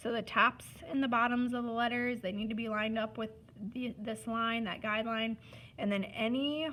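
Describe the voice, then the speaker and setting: An unremarkable speaking voice. It moves at a fairly quick pace. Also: woman. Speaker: art teacher. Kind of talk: tutorial. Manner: casual, instructive.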